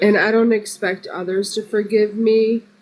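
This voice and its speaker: Noticeable background noise sits behind a woman speaking. Her pitch is fairly high and her intonation monotone and flat. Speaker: live stream guest. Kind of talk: testimony. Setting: live stream.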